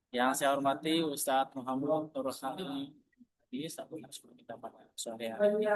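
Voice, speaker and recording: The man's fairly high voice shows ordinary pitch variation and moves at a moderate pace. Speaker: moderator of online religious study session. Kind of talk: formal event opening. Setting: video call.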